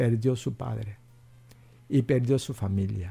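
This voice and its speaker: A fairly slow, somewhat breathy man's voice with a Korean accent and a dark, mellow tone, on a very clean recording with a silent background. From South Korea. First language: Korean (speaking Spanish). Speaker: pastor. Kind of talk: radio interview.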